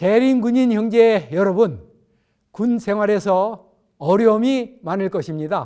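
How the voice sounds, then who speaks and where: A high-pitched man with a dark, mellow tone speaks at a very slow pace with ordinary pitch variation, recorded very cleanly against a silent background. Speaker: retired pastor. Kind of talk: sermon.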